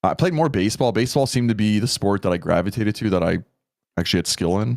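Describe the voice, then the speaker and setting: Speaking very fast in a Canadian accent, a man with a fairly low pitch keeps a lively intonation and very even loudness. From Canada. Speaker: content creator. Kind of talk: casual podcast interview.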